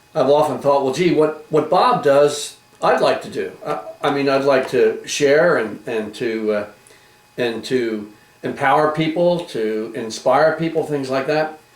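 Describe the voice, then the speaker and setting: Noticeable background noise and audible room echo surround a man at a fairly slow pace. His pitch is fairly high, with ordinary variation. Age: 60s. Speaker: talk show host. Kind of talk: interview.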